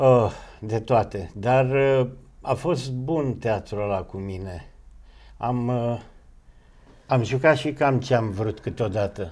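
A man at a very slow pace, with long, frequent pauses. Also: ordinary pitch variation. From Romania. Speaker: actor. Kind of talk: interview. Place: studio. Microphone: lapel.

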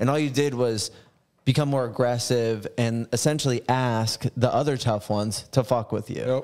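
In a quiet background, a man talks at a moderate pace with fairly even intonation. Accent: American. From New Jersey. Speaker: tattoo artist and podcast host; podcast host. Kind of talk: casual chat. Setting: studio. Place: shop. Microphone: studio mic.

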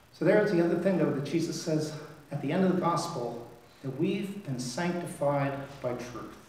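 A man talks at a moderate pace with ordinary pitch variation. Room echo is audible. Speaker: priest. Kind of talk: sermon. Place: church.

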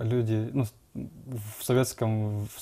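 Here a man speaks in a dark, mellow tone. His intonation stays flat and monotone. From Kokshetau, Kazakhstan; Kazakhstan. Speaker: entrepreneur, guest; guest. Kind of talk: TV interview. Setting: studio. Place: studio. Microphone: lapel.

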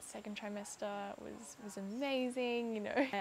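A woman talks at a moderate pace. Her pitch is medium, and her intonation is fairly even. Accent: Australian. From Australia. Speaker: content creator. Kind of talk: personal vlog storytelling.

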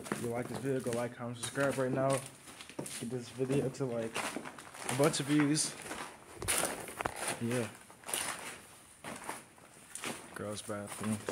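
A man keeps a moderate tempo, breaking often for long pauses, as loud noise fills the background. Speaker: vlogger exploring. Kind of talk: casual vlog chat. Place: hall. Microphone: phone near.

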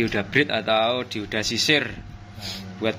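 Fairly slowly, a man speaks over light background noise. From East Java, Indonesia. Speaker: audio amplifier builder and seller; seller. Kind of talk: product review video. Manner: casual. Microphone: phone near.

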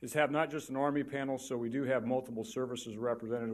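Intonation stays fairly even as a man talks at a very fast pace. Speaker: panel moderator. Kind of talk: conference talk introducing a panel. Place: hall.

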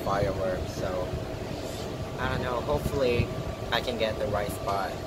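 A man keeps a moderate pace while loud background noise sounds behind him. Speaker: working holiday vlogger. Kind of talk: casual vlog chat. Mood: relaxed, slightly anxious. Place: street. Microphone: phone near.

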